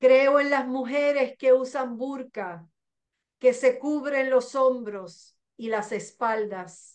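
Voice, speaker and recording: Against a quiet background, a woman with a Puerto Rican accent speaks very slowly at a high pitch. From Puerto Rico, Mayagüez. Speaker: poet. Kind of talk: poetry reading. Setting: video call. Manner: intense, expressive, confessional delivery. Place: home room. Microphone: video call.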